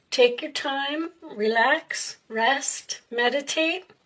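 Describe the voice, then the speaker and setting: A woman with a high pitch speaks in a raised, projected voice. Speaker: tarot reader. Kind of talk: tarot reading. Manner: trying to speak loud.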